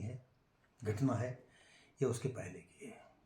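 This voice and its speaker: A man's dark, mellow voice sits at medium pitch with fairly even intonation. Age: 70s. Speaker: YouTuber telling family history. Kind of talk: storytelling monologue. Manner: halting, many fillers.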